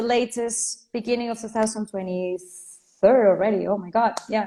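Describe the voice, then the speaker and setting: A woman's fairly high voice in a Spanish accent, monotone and flat, at a moderate pace. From Venezuela. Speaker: life and career coach. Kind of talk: interview.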